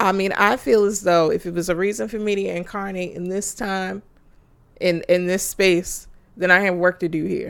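A woman with an unremarkable speaking voice talks at a moderate pace and a medium pitch. Her intonation is fairly even. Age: 30s. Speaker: podcast co-host. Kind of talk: casual chat.

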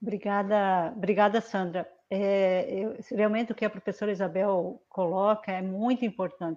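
Over a quiet background, a woman with a normal speaking voice talks at a moderate pace and medium pitch, with fairly even intonation and hardly any pauses. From Paraná, Brazil (southwest). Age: 50s. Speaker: state politician. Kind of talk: online panel discussion. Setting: video call live stream.

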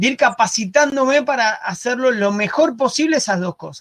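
The speaker is a man with a Rioplatense accent. He talks at a fairly slow pace. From Argentina. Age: 40s. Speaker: digital marketing entrepreneur. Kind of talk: interview.

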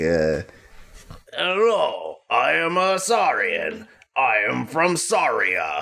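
Using a put-on character voice, a man talks at a very slow pace with long, frequent pauses.

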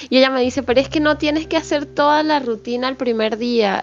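A woman with a high pitch talks at a moderate pace, her pitch moving in an ordinary way. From small town far from the capital. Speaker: podcast co-host. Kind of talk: casual chat.

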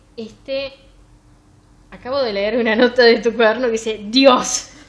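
Over noticeable background noise, a woman speaks at a fairly slow pace with fairly high pitch and fairly even intonation. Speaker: book podcast host. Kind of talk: casual chat.

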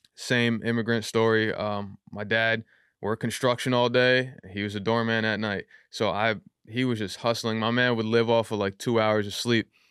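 A man with a New York accent speaks at a moderate pace and medium pitch in a monotone, flat way, on a very clean recording with a silent background. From Yonkers, New York. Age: 30s. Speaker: rapper. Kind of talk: casual chat. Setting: studio.

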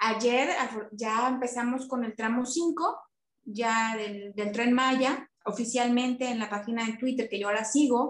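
A woman with a high pitch speaks at a fairly slow pace with fairly even intonation. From Quintana Roo, Mexico. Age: 40s. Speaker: real estate agent. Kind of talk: interview conversation. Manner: halting, many repetitions.

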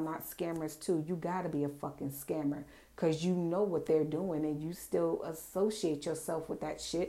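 A woman's dark, mellow tone comes through at a moderate pace. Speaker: podcast host. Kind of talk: angry rant about fake influencers and wellness sellers, profane and scolding. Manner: loud, fired-up, sassy and indignant; casual, profane, direct, confrontational.

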